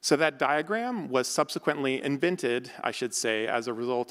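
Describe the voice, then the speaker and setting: A man with a General American accent, a normal speaking voice and a medium pitch. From United States. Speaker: architect and professor. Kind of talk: lecture.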